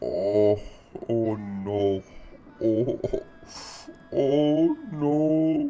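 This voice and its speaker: A put-on character voice at a low-to-middle pitch. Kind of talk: comic overacting. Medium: read story. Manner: hyper, boastful, comic overacting.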